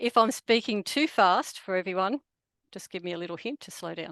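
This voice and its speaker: A speaker with an Australian accent is recorded with a dry, close sound, no echo, and a quiet background. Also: woman. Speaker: photographer. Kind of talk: presentation.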